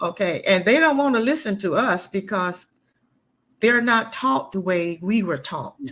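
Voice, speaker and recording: On a very clean recording with a silent background, a woman with an American accent talks at a fairly slow pace and medium pitch, her pitch swinging very widely. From Florida. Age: 70s. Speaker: grandmother raising grandchildren. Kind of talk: interview conversation. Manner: halting, repeats words.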